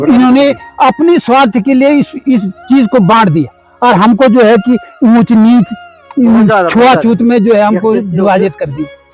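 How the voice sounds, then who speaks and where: A man's extremely high-pitched voice with lively intonation, with music in the background. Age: 80s+. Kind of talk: interview answer.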